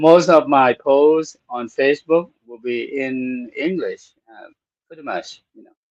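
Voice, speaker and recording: In a Thai accent, a man speaks fairly slowly at a fairly high pitch with ordinary pitch variation and big swings in loudness. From Thailand. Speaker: Buddhist monk, program host. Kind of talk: casual talk show monologue. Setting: studio. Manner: halting, many fillers.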